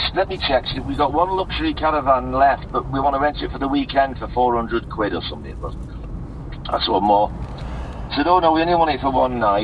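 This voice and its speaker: A man speaks at a moderate pace. Behind him, there is noticeable background noise. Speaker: friend calling; drummer. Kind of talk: casual chat. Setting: phone call.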